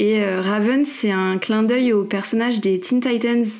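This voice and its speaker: A woman speaks at a moderate pace with fairly even intonation. Audible room echo can be heard. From Île-de-France (Paris region), France. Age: 30s. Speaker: fantasy author and product manager. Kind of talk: podcast interview. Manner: many hesitations (euh).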